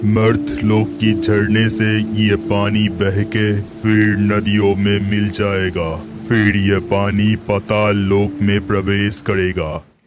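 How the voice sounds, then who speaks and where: A man's cartoonish character voice, fairly low in pitch, very slow with hardly any pauses, over clear music in the background. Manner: calm, authoritative.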